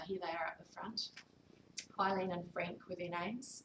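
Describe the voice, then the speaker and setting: Here is a woman with a New Zealand accent. Her voice is fairly low and somewhat breathy. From New Zealand, Wellington. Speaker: author. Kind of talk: author talk. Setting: library event with audience.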